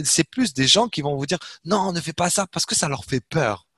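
A man speaks with very wide pitch swings in a dry, close sound with no echo against a quiet background. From Algeria, Algiers. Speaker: entrepreneur. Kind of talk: interview.

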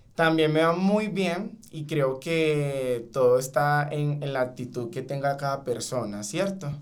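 A man talks at a very slow pace with hardly any pauses, his pitch fairly high. Background noise is noticeable and room echo is audible. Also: ordinary pitch variation. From Venezuela, Caracas. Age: 20s. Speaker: call center sales agent. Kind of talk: podcast interview.

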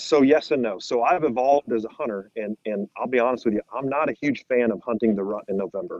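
An unremarkable speaking voice from a man, medium in pitch, fairly quick, with ordinary pitch variation. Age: 40s. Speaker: hunting media guest, cancer researcher. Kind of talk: casual chat.

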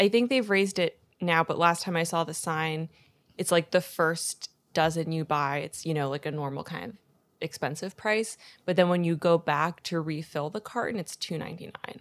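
An unremarkable speaking voice from a woman, fairly low in pitch with ordinary variation, at a moderate pace, dry and close with no echo, in a very clean recording with a silent background. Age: 20s. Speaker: podcast guest. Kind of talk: casual chat.

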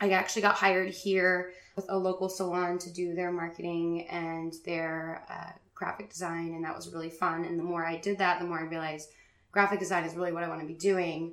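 Someone with an American accent talks fairly quickly in a flat monotone, the loudness swinging widely. The room echo is audible and the background noise is noticeable. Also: woman, fairly low pitch for a woman. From Richmond, Virginia, US. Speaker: graphic designer and business owner. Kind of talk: casual interview.

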